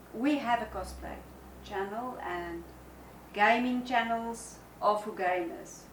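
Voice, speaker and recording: A woman with a fairly high pitch speaks at a very slow pace with long, frequent pauses and big swings in loudness, amid noticeable background noise and audible room echo. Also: ordinary pitch variation. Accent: South African. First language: Afrikaans. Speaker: co-host, camera operator. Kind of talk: casual chat.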